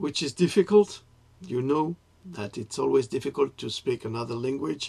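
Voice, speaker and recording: A man with a French accent talks at a moderate pace, his fairly high pitch carrying lively intonation and a dark, mellow tone. His loudness swings widely, and vocal fry creeps in. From France. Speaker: writer and political commentator. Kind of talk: political monologue to camera. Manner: halting, with self-corrections.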